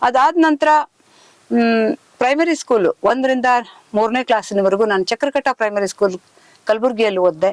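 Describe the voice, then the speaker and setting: A plain, everyday voice with lively intonation and very even loudness. The sound is dry and close, with no echo. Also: woman, fairly high pitch for a woman. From northern Karnataka (Kalyana-Karnataka region). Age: 60s. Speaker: epigraphist and writer, retired official. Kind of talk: interview.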